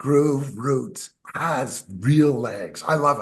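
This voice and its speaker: A man speaks at a very slow pace. His voice is somewhat breathy and fairly high in pitch. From Canada. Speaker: musician. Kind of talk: interview. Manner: animated.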